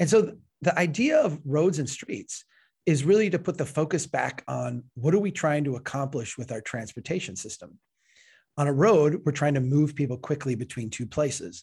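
A man with an American accent speaks at a fairly high pitch with lively intonation. His voice is somewhat breathy. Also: moderate pace, very clean recording, silent background. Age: 40s. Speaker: civil engineer and author. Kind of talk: interview. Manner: animated, frequent self-repetitions.

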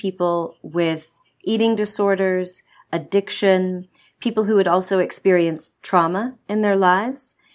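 On a very clean recording with a silent background, a woman with an American accent talks at a moderate pace in a plain, everyday voice. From United States. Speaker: medical doctor and author. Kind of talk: interview.

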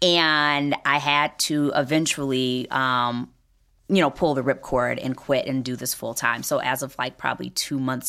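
Her pitch very deep and low, a woman speaks slowly-ish at a fairly slow pace with fairly even intonation, on a very clean recording with a silent background. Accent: American. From Detroit, US Midwest. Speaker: beauty company CEO, former lawyer.

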